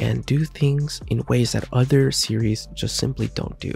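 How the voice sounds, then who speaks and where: A man speaking with music in the background. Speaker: manga youtuber. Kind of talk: video review monologue. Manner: soft-spoken; casual.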